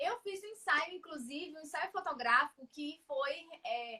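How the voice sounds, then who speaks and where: A woman with a high voice speaks in a raised, projected, animated way. Her pace is fairly slow, with ordinary pitch variation. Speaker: writing teacher. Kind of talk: casual chat.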